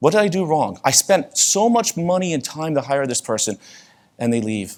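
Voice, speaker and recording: In a New York accent, a man speaks at a moderate pace with a fairly high pitch. His pitch swings very widely. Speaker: conference speaker. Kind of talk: conference talk. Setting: stage with audience. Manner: casual, conversational.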